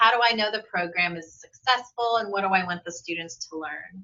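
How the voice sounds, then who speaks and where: A woman speaks at a fairly quick pace with medium pitch. She has an unremarkable speaking voice. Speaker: embedded tutoring program coordinator. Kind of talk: conference presentation.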